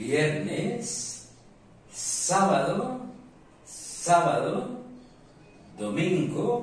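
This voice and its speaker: Music plays in the background as a man with a Spanish accent speaks with ordinary pitch variation, the room echo clearly audible. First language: Spanish (speaking French). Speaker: language teacher. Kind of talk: lesson.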